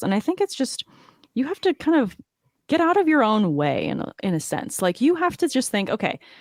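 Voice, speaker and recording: In a Californian accent, a woman talks at a very fast pace with lively intonation, her voice dry and close with no echo on a very clean recording with a silent background. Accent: General American (Californian). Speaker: fantasy football podcaster. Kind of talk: podcast interview.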